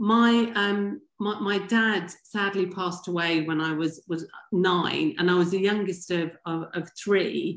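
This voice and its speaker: A woman with a strong English accent at a medium pitch, ordinary pitch variation and hardly any pauses, against a quiet background. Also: fairly slow pace. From England, Wimbledon near London. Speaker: former pro tennis player. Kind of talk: podcast interview.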